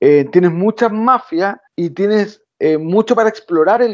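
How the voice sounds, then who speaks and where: A man with a Chilean accent, lively intonation and a fairly slow pace. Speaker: podcast co-host. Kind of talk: casual chat.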